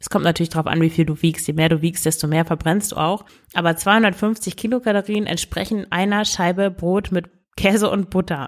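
A woman speaks in an ordinary speaking voice at a moderate pace, her fairly low pitch and fairly even intonation held at very even loudness on a very clean recording with a silent background. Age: 30s. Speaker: podcast host and eating coach. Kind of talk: solo podcast advice talk.

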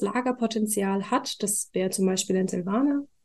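A woman talks at a moderate pace with fairly even intonation against a quiet background. Hers is an ordinary speaking voice. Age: 20s. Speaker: wine queen and trained winemaker. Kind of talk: casual chat during a wine tasting. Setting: studio, seated next to the host.

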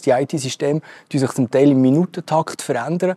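In a Swiss accent, a man with a fairly high pitch uses a dark, mellow tone and ordinary pitch variation, the sound dry and close with no echo. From Switzerland. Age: young. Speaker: tech company CEO. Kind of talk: interview. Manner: halting, many fillers.

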